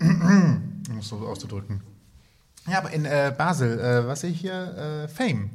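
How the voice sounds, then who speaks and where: A somewhat breathy man with a fairly high pitch, a fairly slow pace, and very wide pitch swings. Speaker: podcast co-host. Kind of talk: casual interview chat.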